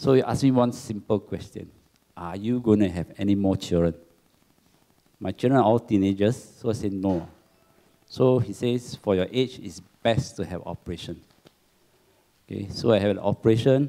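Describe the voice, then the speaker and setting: A fairly low-pitched man with a dark, mellow tone, ordinary pitch variation and long, frequent pauses, with a Singaporean accent. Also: moderate pace. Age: 60s. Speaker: cancer survivor, support group secretary. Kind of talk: testimony.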